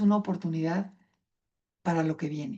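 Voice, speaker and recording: A woman at a fairly quick pace, somewhat breathy, with a dark, mellow tone and fairly even intonation. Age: 60s. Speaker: patient advocate speaker. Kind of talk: conference talk.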